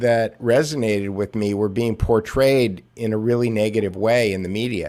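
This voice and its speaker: A man is speaking. His pace is moderate. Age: 60s. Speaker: media analyst and podcast co-host. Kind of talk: casual chat. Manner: halting, many fillers and repeats.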